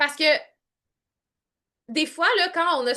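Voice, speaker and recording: With a Quebec accent, a woman speaks in an animated tone with ordinary pitch variation. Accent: Québécois French. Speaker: online coach. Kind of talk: live group coaching call. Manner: varied pitch, expressive.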